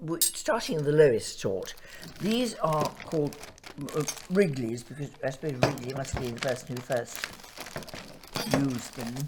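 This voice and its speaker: Through noticeable background noise, a woman with a very deep, low pitch speaks at a moderate pace with lively intonation, big swings in loudness and long, frequent pauses. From Devon, England (near Exeter). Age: 80s+. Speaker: retired doctor. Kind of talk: oral history interview. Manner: halting.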